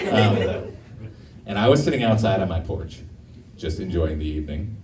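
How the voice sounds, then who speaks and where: With noticeable background noise and audible room echo, a man with a very deep, low pitch speaks at a moderate pace using lively intonation. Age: 50s. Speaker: stand-up comedian. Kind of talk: stand-up. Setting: stage with audience.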